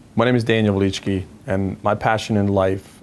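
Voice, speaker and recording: A man speaks at a fairly low pitch with a Croatian accent. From Croatia, Zagreb. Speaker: financial education founder. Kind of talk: personal story interview.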